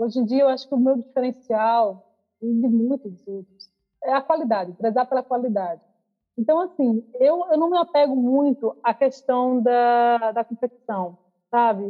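Her voice sits high for a woman. She talks at a fairly slow pace. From Brazil, João Pessoa, Paraíba. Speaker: pop singer. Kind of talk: interview.

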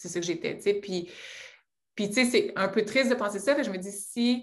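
Here a woman talks in a medium pitch. Her pitch varies in an ordinary way. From Quebec, Abitibi. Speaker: entrepreneur. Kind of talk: interview.

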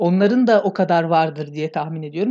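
A woman's dark, mellow tone at a moderate pace, with ordinary pitch variation over a quiet background. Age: 20s. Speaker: podcast host. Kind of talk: casual chat.

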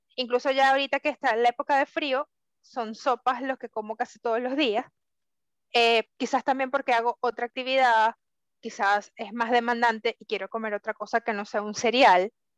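Speaking at a moderate pace, a woman with a high pitch keeps her intonation fairly even in a dry, close sound with no echo. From Venezuela. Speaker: podcast co-host. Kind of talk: casual chat.

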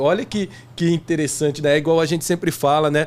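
This man talks at a fairly quick pace. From Brazil, interior of São Paulo state (Jardinópolis). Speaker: podcast co-host. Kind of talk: casual chat.

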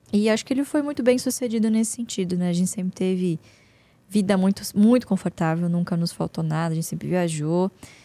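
Speaking at a fairly quick pace, a woman uses a medium pitch and a dark, mellow tone with ordinary pitch variation. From São Paulo state countryside, Brazil. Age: 20s. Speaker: investment analyst and company board member. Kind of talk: casual interview.

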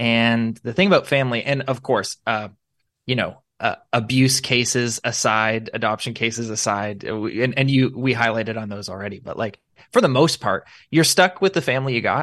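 This is a normal speaking voice at a moderate pace with ordinary pitch variation. The background is quiet. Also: man, medium pitch for a man. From Canada, Niagara Falls, Ontario. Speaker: pastor and coffee shop owner. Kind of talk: casual chat. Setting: video call.

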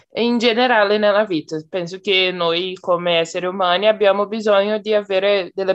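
Using a normal speaking voice, a woman delivers her words at medium pitch and moderate tempo, her pitch varying in an ordinary way. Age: 20s. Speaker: psychology student, language learner. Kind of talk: casual group conversation practice. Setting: video call.

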